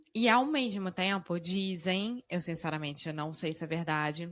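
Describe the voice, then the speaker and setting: A woman with a Rio de Janeiro accent speaks at a fairly slow pace, her medium pitch rising and falling in an ordinary way, on a very clean recording with a silent background. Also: dry, close sound with no echo. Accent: Carioca Brazilian Portuguese. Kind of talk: conversational.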